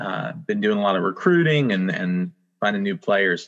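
A man with an unremarkable speaking voice, fairly low in pitch, at a moderate pace with ordinary pitch variation over a quiet background. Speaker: assistant pastor and soccer chaplain. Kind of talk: casual group chat.

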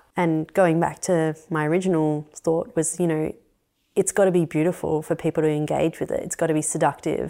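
On a very clean recording with a silent background, a woman speaks at a fairly quick pace in a fairly low pitch, with a dark, mellow tone and monotone, flat intonation. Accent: Australian. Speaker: architect. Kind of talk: interview. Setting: at her home.

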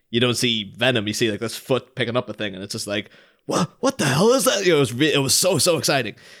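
Speaking very fast, a man talks in an Irish accent. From Ireland. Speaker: podcast co-host from another show. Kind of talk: casual chat.

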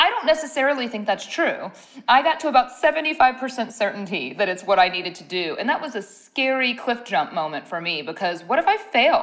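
Very wide swings in pitch from a woman, with noticeable background noise. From US Midwest, Ohio. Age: 30s. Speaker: skincare company founder. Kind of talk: interview.

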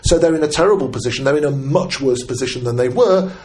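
A man with a British accent talks at a very fast pace, with ordinary pitch variation. There is audible room echo around him. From Britain. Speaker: journalist. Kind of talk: casual chat.

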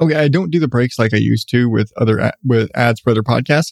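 A man's voice has a slightly mellow tone and vocal fry, with a dry, close sound and no echo.

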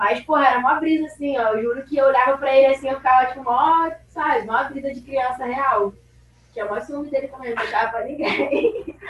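A woman's high voice at a fairly quick pace, with ordinary pitch variation and big swings in loudness. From Rio de Janeiro, Brazil. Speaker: skateboarder. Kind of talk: casual interview chat.

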